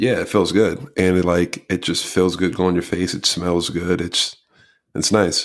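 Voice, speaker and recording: Recorded very cleanly against a silent background, a man speaks at a fairly slow pace with a very deep, low pitch. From New Jersey. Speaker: podcast co-host. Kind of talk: casual chat. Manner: stutters when excited.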